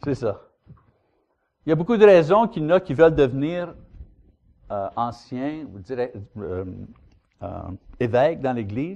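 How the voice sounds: A man speaks at a medium pitch in a dark, mellow tone. His pace is fairly slow, with long, frequent pauses. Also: lively intonation.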